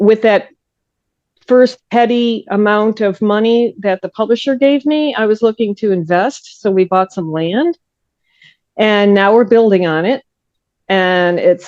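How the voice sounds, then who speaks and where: Here a woman has an unremarkable speaking voice, fairly high in pitch with ordinary pitch variation. She keeps a moderate pace. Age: 60s. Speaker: crime writer and forensic scientist. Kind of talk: interview.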